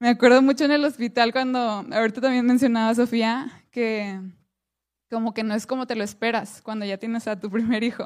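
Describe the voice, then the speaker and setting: A woman speaks in an ordinary speaking voice, fairly high in pitch, at a fairly quick pace with fairly even intonation. The recording is very clean, with a silent background. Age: 20s. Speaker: women's ministry speaker. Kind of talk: sermon.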